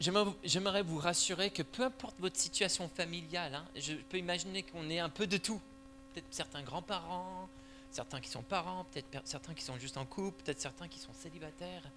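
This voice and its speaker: A man with an American accent speaks at a fairly quick pace with lively intonation, a fairly high pitch and vocal fry. His tone is bright and sharp, and his loudness swings widely. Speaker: church elder and parenting speaker. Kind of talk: church conference talk. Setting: church hall with audience.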